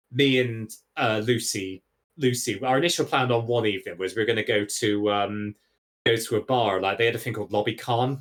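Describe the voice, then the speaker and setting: A man speaks with a Bristol accent at a medium pitch. His pace is fairly quick. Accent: Bristolian English. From England, Bristol. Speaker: podcast guest, gaming streamer. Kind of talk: casual chat. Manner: animated.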